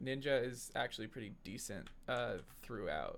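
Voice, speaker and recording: Fairly slow male voice with vocal fry, medium pitch and ordinary pitch variation. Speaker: gaming YouTuber. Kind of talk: gameplay commentary. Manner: hesitant, many fillers; mumbling.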